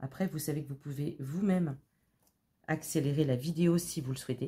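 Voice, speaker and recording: A woman talks at a fairly quick pace with a very deep, low pitch. Her tone is dark and mellow. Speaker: craft tutorial youtuber. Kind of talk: tutorial. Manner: casual, chatty with fillers.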